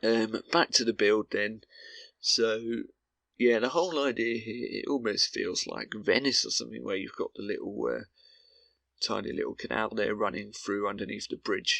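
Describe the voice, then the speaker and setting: At a moderate pace, a man's speech comes through dry and close, without any echo. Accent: British. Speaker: gaming commentator. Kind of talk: gameplay commentary. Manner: droning, monotone.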